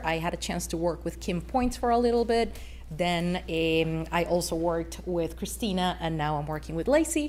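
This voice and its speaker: A woman speaks with a non-native accent. Room echo is audible. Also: hardly any pauses. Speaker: waste company representative. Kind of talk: council presentation. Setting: city council meeting. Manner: hesitant, many fillers.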